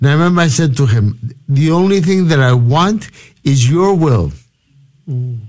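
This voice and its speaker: Speaking in a Spanish accent, a man with a fairly high pitch sounds somewhat breathy, using lively intonation at a moderate pace broken by long, frequent pauses. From Peru. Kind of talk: interview about faith and testimony.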